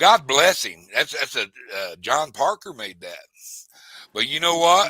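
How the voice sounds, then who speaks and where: A man with a Texan accent speaks at a fairly slow pace. His loudness swings widely, and the sound is dry and close, with no echo. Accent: Texan Southern US. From South Texas. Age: 60s. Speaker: fishing livestreamer. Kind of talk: casual chat. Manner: animated.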